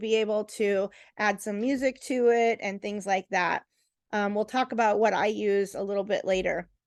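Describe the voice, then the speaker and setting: A loud woman's voice at a moderate pace, over a quiet background. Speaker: real estate agent. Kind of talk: tutorial.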